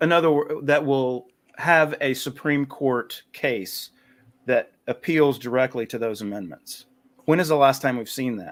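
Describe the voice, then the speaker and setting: With a North Carolina accent, a man talks at a fairly slow pace in a fairly high pitch. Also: ordinary pitch variation. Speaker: podcast guest, writer on liberty. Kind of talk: casual chat.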